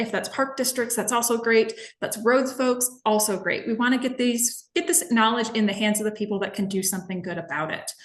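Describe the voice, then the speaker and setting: A woman with an American accent, a fairly high pitch and ordinary pitch variation. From Minnesota. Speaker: environmental educator. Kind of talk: webinar presentation. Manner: fast.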